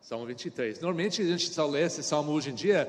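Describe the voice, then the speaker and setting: Against audible room echo, a man with an American accent speaks in a fairly high voice with lively intonation. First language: English (speaking Portuguese). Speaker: pastor. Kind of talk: sermon. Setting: church. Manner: halting.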